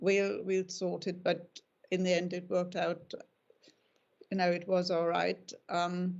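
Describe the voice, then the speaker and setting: A woman with a German accent, fairly low in pitch, monotone and flat, at a fairly slow pace with long, frequent pauses. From Germany. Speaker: dog breeder. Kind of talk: interview.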